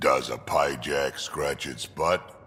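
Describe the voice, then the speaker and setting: A man puts on a raspy character voice against clear background noise. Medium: video game. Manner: curious, casual.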